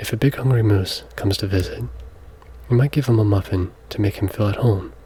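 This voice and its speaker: Soft-spoken and somewhat breathy, a man talks at a fairly quick pace. His pitch is fairly low with ordinary variation. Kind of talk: ASMR soft-spoken children's book read aloud.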